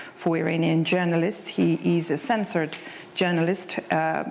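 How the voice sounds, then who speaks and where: There is light background noise. A woman with a fairly low pitch talks at a moderate pace. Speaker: session moderator. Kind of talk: moderator introduction. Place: stage. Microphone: lapel.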